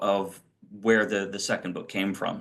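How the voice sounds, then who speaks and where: A man talks with an American accent and a bright, sharp tone. The background is quiet. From Washington, D.C. area, US. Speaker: author. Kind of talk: interview. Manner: halting, many fillers.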